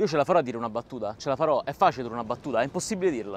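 A man talks with ordinary pitch variation. The sound is dry with no echo, and there is light background noise. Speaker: comic video host. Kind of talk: comedic to-camera intro. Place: waterside. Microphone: lapel.

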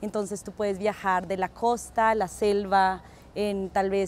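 Recorded dry with no echo and some light background noise, a woman talks at a fairly slow pace. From Colombia, Ecuador and Peru. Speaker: interviewee. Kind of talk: interview. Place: street. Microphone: lapel.

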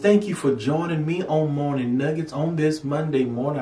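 A man speaks at a moderate pace. Audible room echo can be heard. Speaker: pastor. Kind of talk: devotional vlog address. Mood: calm, earnest. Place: studio.

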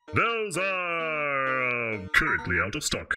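A put-on character voice moves at a fairly slow pace with very wide pitch swings, while faint music plays in the background. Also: man, fairly high pitch for a man. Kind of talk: comic overacting. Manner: pushy sales pitch.

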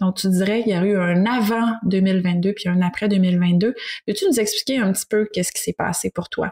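This woman's voice has a somewhat breathy quality. She keeps a medium pitch and a moderate pace. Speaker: speech therapist co-host. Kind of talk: casual interview.

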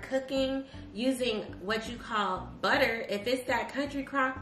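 A high-pitched woman at a fairly slow pace with fairly even intonation, amid audible room echo and music in the background. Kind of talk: casual vlog chat. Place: kitchen. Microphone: camera far.

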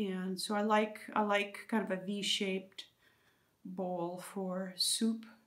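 Very slowly, a woman speaks in a medium pitch with monotone, flat intonation. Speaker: studio potter. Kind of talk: lecture. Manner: halting.

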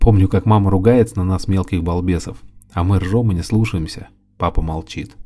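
The voice is somewhat breathy with a dark, mellow tone, fairly even intonation and a moderate pace. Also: man, very deep, low pitch for a man. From Volgograd, southern Russia. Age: 30s. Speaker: hairdresser and author. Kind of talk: reading aloud.

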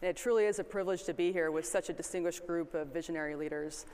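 Speaking at a fast pace, a woman has a slightly mellow tone and ordinary pitch variation. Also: fairly low pitch for a woman.

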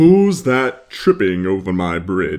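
Bellowing in a gruff, put-on character voice, a man speaks at a very slow pace. His pitch sits in the medium range but makes very wide swings. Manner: roaring, gruff.

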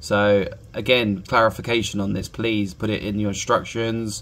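At a fairly slow pace, a man speaks. His pitch is fairly low. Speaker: reef aquarium hobbyist YouTuber. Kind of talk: angry rant, fed-up product complaint aimed at the maker, sarcastic and exasperated. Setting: home video recording, talking to camera while testing the probe. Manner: exasperated, emphatic, clipped and repetitive; rambling, halting, with frequent filler words. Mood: frustrated, complaining. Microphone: phone near.

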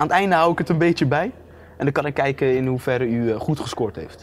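A man talks at a fairly quick pace with a fairly high pitch. His intonation is lively. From Netherlands. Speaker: vlogger interviewing a politician. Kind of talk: casual interview. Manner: animated. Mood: playful, laughing. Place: studio. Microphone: lapel.

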